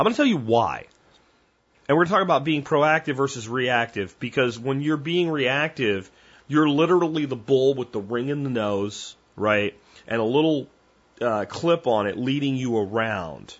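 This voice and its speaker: In a normal speaking voice, a man uses lively intonation at medium pitch and a moderate pace. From Pennsylvania. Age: 40s. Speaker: podcast host. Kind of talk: casual monologue.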